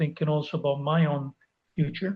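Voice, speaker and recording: A somewhat breathy man speaks at a moderate pace with fairly even intonation. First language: not English. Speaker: life coach. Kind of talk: interview.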